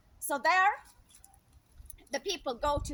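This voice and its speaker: A woman speaks at a moderate pace with a Swedish accent, her tone bright and sharp. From Sweden. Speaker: speaker sharing opinions. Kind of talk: improvised monologue. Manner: conversational with fillers.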